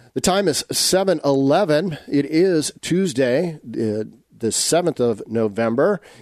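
A man with a normal speaking voice, fairly high in pitch, with ordinary pitch variation. The sound is dry and close with no echo, over a quiet background. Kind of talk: radio show hosting, conversational. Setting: radio studio. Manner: warm, measured, formal.

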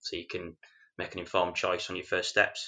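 Someone with a Yorkshire accent talks at a moderate pace against a quiet background. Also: man. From Yorkshire, England. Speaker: mortgage advisor and landlord. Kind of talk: casual podcast interview.

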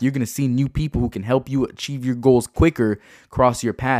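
A man speaks very fast in an animated tone at a medium pitch. The recording is very clean with a silent background and a dry, close sound with no echo. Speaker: entrepreneur and podcast host. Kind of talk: motivational monologue.

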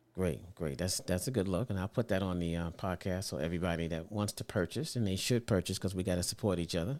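Very fast speech with hardly any pauses and ordinary pitch variation, in a New York accent, on a very clean recording with a silent background. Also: man, very deep, low pitch for a man. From Brooklyn, New York. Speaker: podcast host. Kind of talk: interview.

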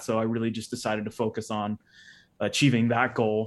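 The speaker is a man. He talks with a Midwestern American accent. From US Midwest, northeastern Ohio. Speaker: former CrossFit athlete. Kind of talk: casual interview.

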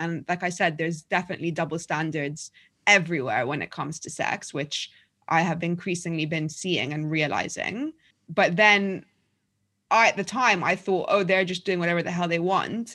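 A bright, sharp voice in a London accent with ordinary pitch variation at a moderate pace, in a very clean recording with a silent background. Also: woman, fairly low pitch for a woman. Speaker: journalist and author. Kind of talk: casual interview.

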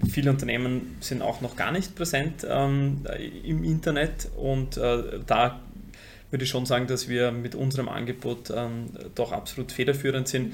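Somewhat breathy in tone, the speech keeps a moderate pace and shows ordinary pitch variation. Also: man, medium pitch for a man. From Vienna, Austria. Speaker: funeral company co-founder. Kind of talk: interview. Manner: halting, repeats words.

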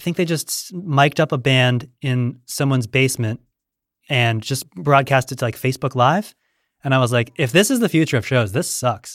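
Captured on a very clean recording with a silent background, a man speaks in a normal speaking voice at a medium pitch with ordinary pitch variation. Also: moderate pace. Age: 30s. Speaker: podcast host. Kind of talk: casual interview chat. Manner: dry, jokey, self-deprecating.

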